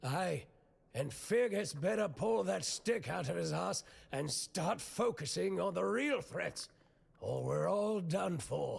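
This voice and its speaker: Using a put-on character voice, a man sounds raspy, with a fairly high pitch and a fairly slow pace. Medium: video game. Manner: blunt, gruff.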